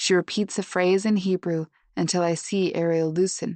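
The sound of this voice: An unforced reading voice, fairly even in intonation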